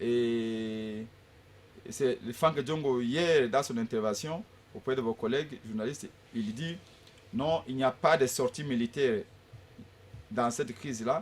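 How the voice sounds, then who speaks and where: Speaking at a very slow pace with long, frequent pauses, a man uses a medium pitch. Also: ordinary pitch variation. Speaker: opposition politician. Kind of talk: political debate. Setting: radio/TV studio. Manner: forceful, emphatic; halting with repetitions. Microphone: sitting far from the mic.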